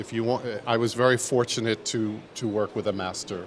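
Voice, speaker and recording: A man's medium-pitched voice with a New York accent, moderate pace and fairly even intonation. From New York City, Manhattan. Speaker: footwear designer. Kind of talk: interview. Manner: hesitant, many fillers.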